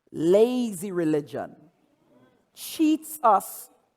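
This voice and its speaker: A man with a Caribbean accent speaks in a high pitch. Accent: Caribbean accent, often taken for Jamaican. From Trinidad. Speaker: pastor. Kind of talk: sermon. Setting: church. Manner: animated; repeats words, stammering restarts.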